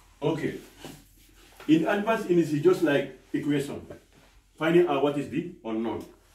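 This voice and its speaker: Audible room echo surrounds a man whose pitch is fairly high, with ordinary variation, a moderate pace and long, frequent pauses. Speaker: maths teacher. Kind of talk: lecture. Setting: classroom. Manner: loud. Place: classroom. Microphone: camera far.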